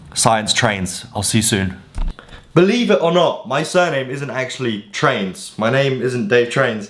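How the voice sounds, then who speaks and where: A man with an English accent speaks at a medium pitch and a fairly slow pace, using lively intonation. Audible room echo and noticeable background noise fill the recording. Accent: posh-sounding English, crisp T's. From Poland, moved to England at about nine. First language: Polish. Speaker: fitness influencer. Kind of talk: casual vlog talk to camera.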